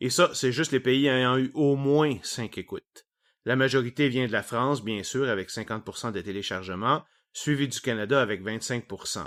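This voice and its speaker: In a very clean recording with a silent background, a man speaks with a Quebec accent. His pitch is medium with ordinary variation. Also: moderate pace. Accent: Québécois French. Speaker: science podcast host. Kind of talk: solo podcast monologue.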